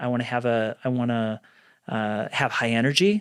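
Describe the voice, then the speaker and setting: Speaking with a western US accent, a man of medium pitch talks at a moderate pace on a very clean recording with a silent background. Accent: western American. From Utah (Salt Lake City). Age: 40s. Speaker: entrepreneur. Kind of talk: podcast interview.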